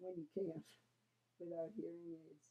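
A woman with a fairly low pitch and a dark, mellow tone. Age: 70s. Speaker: hearing aid user. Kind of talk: customer testimonial to camera. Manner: hesitant, conversational. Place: home room. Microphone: webcam.

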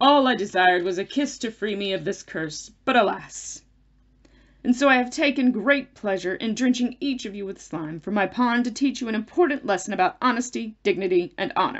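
A female-sounding, put-on character voice comes through croaky and fairly high. It moves at a fairly quick pace. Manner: grandiose, old-fashioned, melodramatic.

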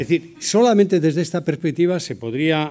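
He is a man with a fairly high pitch and a dark, mellow tone. His pace is moderate. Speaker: business executive and cooperative leader. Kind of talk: keynote talk. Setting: conference hall with audience. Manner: vehement.

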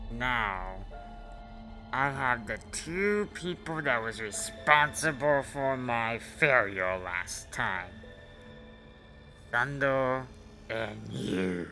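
Clear music plays in the background as a man talks at a very slow pace with long, frequent pauses. His medium-pitched voice carries lively intonation. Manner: menacing, gloating.

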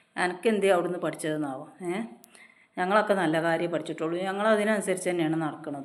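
Through audible room echo and noticeable background noise, a woman speaks with fairly even intonation at a fairly low pitch. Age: 40s. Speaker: YouTube vlogger. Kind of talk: opinion vlog monologue.

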